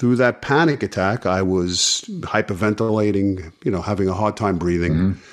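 A man speaks in a normal speaking voice at a moderate pace, his fairly low pitch moving with ordinary variation and his loudness staying very even. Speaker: Akashic records reader and healing guide. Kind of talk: casual interview conversation.

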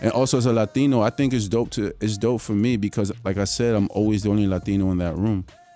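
Music plays in the background while a man talks. His pitch is fairly low and his pace is very fast. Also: fairly even intonation. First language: Spanish. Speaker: musician. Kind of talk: casual chat. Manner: code-switching English and Spanish.

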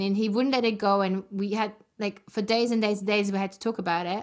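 Here is a plain, everyday voice from a woman with fairly high pitch at a moderate pace. The recording is very clean, with a silent background. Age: 40s. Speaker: podcast host. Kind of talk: interview conversation.

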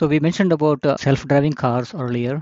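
A man talks fairly quickly in an ordinary speaking voice. His pitch is fairly high, and it varies in an ordinary way. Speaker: lead editor, software architect. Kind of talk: panel discussion.

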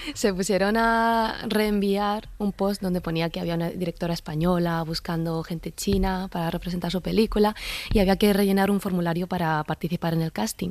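This woman has a plain, everyday voice in a medium pitch. She talks at a fairly quick pace with fairly even intonation. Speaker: actress. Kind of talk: interview.

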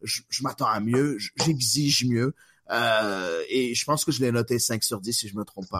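At a fairly slow pace, a man talks in an unremarkable speaking voice, medium in pitch with ordinary pitch variation and a dry, close sound with no echo. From Quebec, Montreal. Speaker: podcast host. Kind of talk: casual chat.

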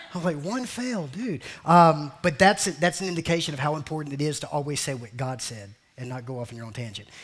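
A man's fairly high, somewhat breathy voice at a very fast pace, animated in tone with lively intonation. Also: big swings in loudness. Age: 40s. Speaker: pastor. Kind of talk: sermon.

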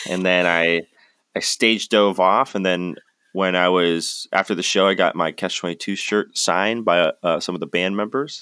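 On a very clean recording with a silent background, a man speaks at a moderate pace in a fairly low pitch, his tone bright and sharp and the sound dry and close with no echo. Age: 20s. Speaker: website founder and editor. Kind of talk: interview.

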